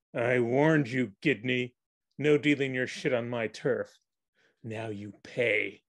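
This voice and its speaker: A man talks at a fairly slow pace with a medium pitch. His intonation stays fairly even. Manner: threatening.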